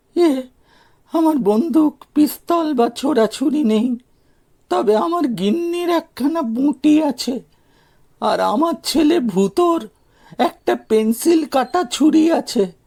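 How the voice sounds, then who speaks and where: A man puts on a character voice with an extremely high pitch and a timid tone. He talks at a fairly slow pace. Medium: read story. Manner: timid, hesitant.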